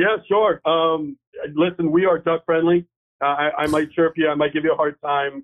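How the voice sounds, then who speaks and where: A man speaks at a moderate pace in a fairly high voice. His intonation is fairly even and his loudness very even. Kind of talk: casual chat. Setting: phone call.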